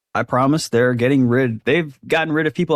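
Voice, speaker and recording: A man with an American accent speaks at a fairly quick pace in a plain, everyday voice, with ordinary pitch variation at a medium pitch. The sound is dry and close, with no echo. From US, grew up in a trailer park. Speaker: professional MMA fighter. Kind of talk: casual interview chat.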